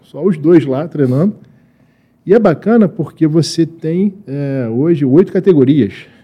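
An ordinary speaking voice from a man, fairly high in pitch with ordinary variation and a fairly slow pace. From Lebanon. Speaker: Olympic wrestler and coach. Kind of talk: casual interview.

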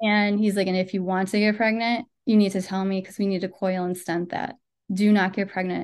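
Over a quiet background, a woman speaks with an American accent at a medium pitch. Her pace is moderate and her intonation monotone and flat. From Western New York, Buffalo. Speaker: content writer and podcaster. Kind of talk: interview, personal health story.

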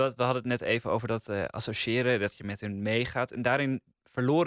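On a very clean recording with a silent background, a man talks in an ordinary speaking voice at a medium pitch with fairly even intonation. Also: dry, close sound with no echo. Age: 20s. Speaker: podcast critic. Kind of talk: casual chat.

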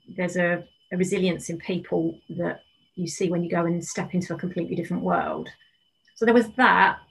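Fairly low and marked by vocal fry, a woman's voice moves at a fairly quick pace with fairly even intonation. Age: 50s. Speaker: life coach and yoga teacher. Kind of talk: casual chat.

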